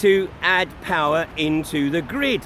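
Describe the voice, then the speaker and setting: There is light background noise behind a man's voice, which has a dry sound with no echo. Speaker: activist livestreamer. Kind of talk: commentary. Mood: critical, indignant. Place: waterside. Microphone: phone near.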